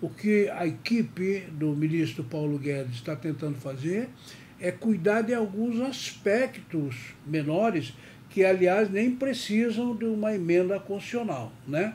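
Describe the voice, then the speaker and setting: Here a man speaks in a high pitch at a fairly slow pace. His pitch swings very widely. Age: 70s. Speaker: tax and business news commentator. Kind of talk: news commentary. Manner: conversational.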